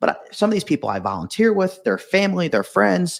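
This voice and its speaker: Set against a silent background, the recording is very clean. A man's voice shows vocal fry and very wide pitch swings at a moderate pace. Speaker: entrepreneur, digital marketing agency owner. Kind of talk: interview answer. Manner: stutters.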